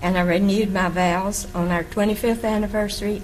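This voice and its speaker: A woman with an American accent at medium pitch, fairly quick and fairly even in intonation, amid audible room echo and noticeable background noise. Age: 80s+. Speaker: church member. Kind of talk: public comment testimony. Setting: county board meeting.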